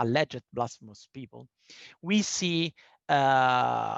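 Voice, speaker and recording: A man with an Italian accent, in a dry, close sound with no echo. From Italy. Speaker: panel speaker on human rights. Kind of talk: presentation in online panel discussion. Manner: halting, with fillers.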